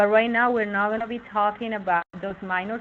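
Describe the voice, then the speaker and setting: Speaking at a fairly quick pace, a woman has an unremarkable speaking voice. Her pitch is medium, with ordinary variation. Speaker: webinar presenter. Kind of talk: tutorial. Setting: live online webinar.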